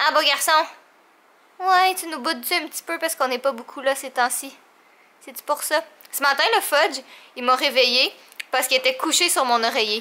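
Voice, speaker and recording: A woman with a Quebec accent and a high pitch uses a raised, projected voice at a moderate pace, with big swings in loudness, ordinary pitch variation and long, frequent pauses. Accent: Québécois French. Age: 20s. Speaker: vlogger. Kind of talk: casual vlog talk. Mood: affectionate, playful. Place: home room. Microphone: phone near.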